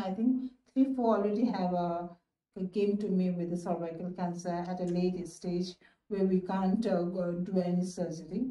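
Audible room echo surrounds a woman speaking with fairly even intonation. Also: moderate pace. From Nepal. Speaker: gynecologist. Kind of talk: interview answer. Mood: calm, explanatory. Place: office. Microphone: phone near.

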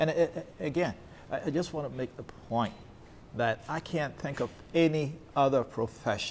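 Over light background noise, a man with an American accent speaks with lively intonation. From Baltimore, Maryland. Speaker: college president and show host; show host. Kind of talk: monologue to camera; casual interview. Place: hall.

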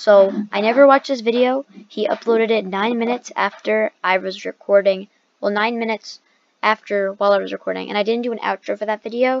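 This woman has a normal speaking voice, fairly high in pitch, with fairly even intonation and a fairly quick pace. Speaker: gaming YouTuber. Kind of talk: reaction video commentary. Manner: casual, rambling.

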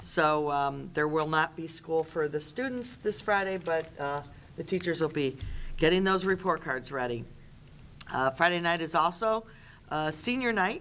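Over light background noise, a woman with a plain, everyday voice speaks fairly low at a moderate pace with ordinary pitch variation. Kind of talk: meeting report. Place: meeting room. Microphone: podium.

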